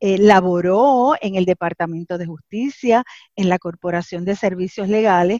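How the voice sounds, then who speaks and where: A woman in a normal speaking voice, fairly slow pace and ordinary pitch variation, with a dry, close sound and no echo. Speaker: radio host and lawyer. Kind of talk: radio interview.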